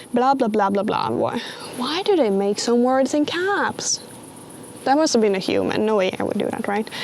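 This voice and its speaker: A woman with a Swedish accent, fairly high in pitch, lively in intonation, at a moderate pace over noticeable background noise. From Sweden. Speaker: vlogger. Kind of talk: casual commentary.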